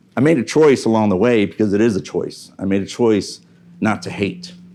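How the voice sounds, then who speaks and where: A man talks at a fairly quick pace. His voice is fairly low, with ordinary pitch variation. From Mexico (Monterrey), raised in Houston, Texas. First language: Spanish. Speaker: motivational speaker, Marine veteran, business owner. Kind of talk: motivational talk. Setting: stage with live audience. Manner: conversational, hesitant with fillers.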